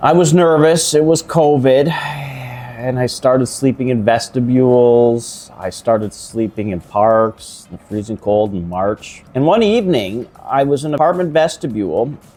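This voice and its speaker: Against noticeable background noise, a man with a Canadian accent and medium pitch speaks at a fairly slow pace with lively intonation and hardly any pauses. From Canada, Toronto (Scarborough). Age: 50s. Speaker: shelter resident sharing his story. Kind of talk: interview conversation over a meal. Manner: halting, repeats words.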